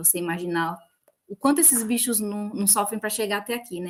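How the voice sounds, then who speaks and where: A woman speaks at a fairly quick pace. Hers is a plain, everyday voice. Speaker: biologist, field technician. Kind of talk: panel discussion.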